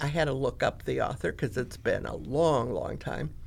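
A woman speaks with an American accent. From US Midwest (Grand Rapids, Michigan). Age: 70s. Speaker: retired librarian. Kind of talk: interview.

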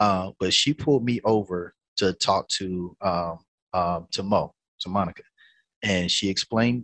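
With a North Carolina accent, a man speaks at a moderate pace and ordinary pitch variation, the sound dry and close with no echo. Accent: Southern US, North Carolina. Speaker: musician and musical director. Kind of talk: casual interview storytelling.

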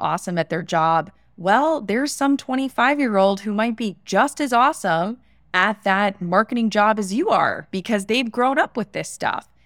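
A woman with an American accent speaks at a moderate pace in a plain, everyday voice of medium pitch, her intonation lively, the sound dry and close with no echo on a very clean recording with a silent background. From Florida, US. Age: 30s. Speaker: entrepreneur and personal branding consultant. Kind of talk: interview.

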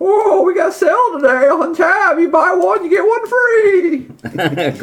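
An extremely high-pitched, put-on character voice speaks at a fairly slow pace. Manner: sleazy, flirty.

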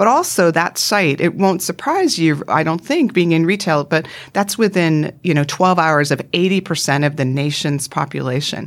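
A plain, everyday voice with a Canadian accent, very even loudness, ordinary pitch variation, a moderate pace and hardly any pauses. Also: woman, fairly low pitch for a woman. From Canada, Vancouver Island. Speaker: retail executive. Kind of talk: interview.

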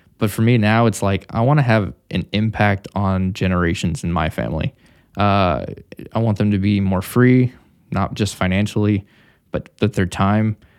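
In an American accent, an unremarkable speaking voice moves at a moderate pace with ordinary pitch variation, the sound dry and close with no echo, on a very clean recording with a silent background. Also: man, fairly low pitch for a man. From Missouri. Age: 30s. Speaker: entrepreneur. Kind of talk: casual interview.

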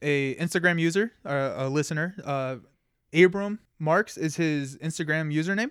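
This man has an ordinary speaking voice and a fairly high pitch, with an American accent. He talks at a moderate pace with ordinary pitch variation. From Kentucky, US. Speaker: podcast co-host. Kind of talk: casual chat.

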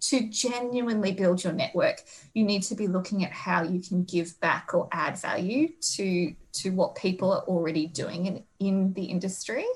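Speaking at a medium pitch and a moderate pace, a somewhat breathy woman with an Australian accent shows ordinary pitch variation on a very clean recording with a silent background. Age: 30s. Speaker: agriculture careers researcher. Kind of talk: interview.

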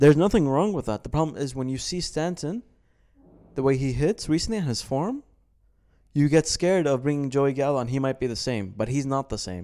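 Lively intonation and a dark, mellow tone from a man with a fairly high pitch, in a very clean recording with a silent background. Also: fairly quick pace. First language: Arabic. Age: 20s. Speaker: podcast co-host. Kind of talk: casual chat.

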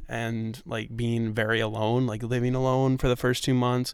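On a very clean recording with a silent background, a man talks at a moderate pace in an American accent. His voice is medium-pitched and unremarkable. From New York City. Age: 20s. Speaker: podcast host. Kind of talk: casual interview chat. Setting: outdoors in a park.

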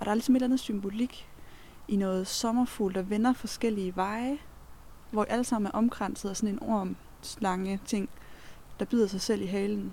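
Somewhat breathy and dark, mellow in tone, a woman's medium-pitched voice moves with fairly even intonation and long, frequent pauses. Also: moderate pace. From Denmark, near Kolding (southern Jutland). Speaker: co-explorer on a night walk. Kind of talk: casual chat while walking.

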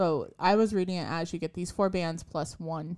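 This woman has an ordinary speaking voice with fairly low pitch. Her pitch varies in an ordinary way. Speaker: podcast co-host. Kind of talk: casual chat.

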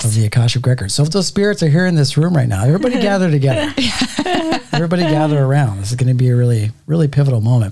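A man's fairly high voice carries lively intonation through noticeable background noise. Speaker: podcast host.

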